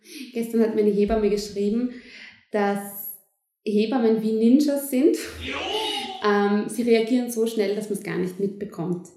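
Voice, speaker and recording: A woman speaks at a fairly slow pace with fairly high pitch and ordinary variation. Audible room echo surrounds the voice. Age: 20s. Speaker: midwife. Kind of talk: interview.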